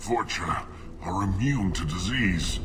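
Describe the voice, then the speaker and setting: Over loud background noise, a man puts on a character voice, fairly low pitched and delivered at a fairly slow pace. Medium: short film. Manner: weak, bitter.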